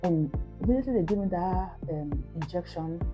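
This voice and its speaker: Music plays behind a woman speaking with a Nigerian accent. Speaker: mom vlogger. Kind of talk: casual talk to camera.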